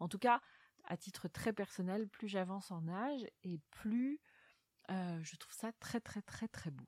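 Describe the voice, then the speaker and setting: A woman's medium-pitched voice, very slow, with ordinary pitch variation, in a dry, close sound with no echo. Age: 40s. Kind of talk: literary interview. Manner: halting, frequent word repetitions and fillers.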